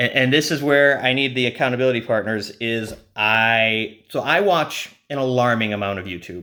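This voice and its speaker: A man is speaking. His tone is bright and sharp. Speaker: bullet journal vlogger. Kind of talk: casual vlog talk. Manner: fast; hesitant, many fillers.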